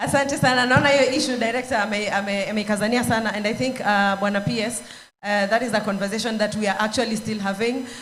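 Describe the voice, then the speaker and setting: With a fairly high pitch, a woman speaks very fast and keeps her intonation fairly even. Room echo can be heard. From Kenya. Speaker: panel moderator. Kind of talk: panel discussion. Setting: stage with audience. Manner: hesitant, many fillers.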